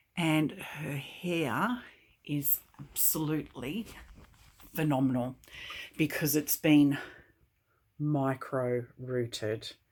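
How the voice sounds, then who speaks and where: Speaking very slowly, a woman with an Australian accent uses a very deep, low pitch. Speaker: doll collector YouTuber. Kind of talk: product unboxing and review. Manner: animated.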